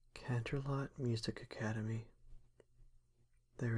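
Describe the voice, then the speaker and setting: At a very slow pace, a man speaks in a soothing tone at medium pitch, somewhat breathy, with a monotone, flat intonation. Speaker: ASMR roleplay creator. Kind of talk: narration, scene-setting. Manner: soothing, compassionate.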